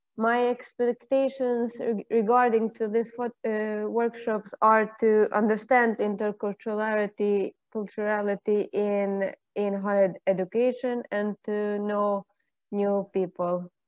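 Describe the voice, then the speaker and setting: In an Albanian accent, a woman speaks at a fairly slow pace with a fairly high pitch and monotone, flat intonation. The sound is dry with no echo over a quiet background. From Montenegro, Albanian-speaking. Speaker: master's student. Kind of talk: self-introduction. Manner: halting. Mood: friendly, slightly shy. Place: home room. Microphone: video call.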